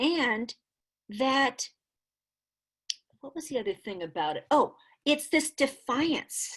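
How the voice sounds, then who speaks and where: A woman is speaking. The background is quiet. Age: 60s. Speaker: dancer and choreographer. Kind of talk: interview conversation. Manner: animated.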